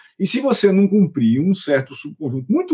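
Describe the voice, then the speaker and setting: Pitched high for a man, his voice swings very widely in pitch as he talks at a fairly quick pace. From Brazilian Northeast (Paraíba, interior). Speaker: computer science professor. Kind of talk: interview conversation.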